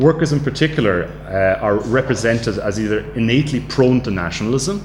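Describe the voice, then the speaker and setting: In an Irish accent, a man speaks at a medium pitch with lively intonation, with audible room echo and noticeable background noise. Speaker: academic researcher. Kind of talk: lecture. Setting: studio. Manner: halting.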